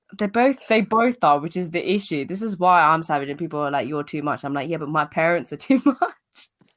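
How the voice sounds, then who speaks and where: The speaker has a British accent and a fairly quick pace. There are hardly any pauses. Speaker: podcast host. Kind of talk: casual chat.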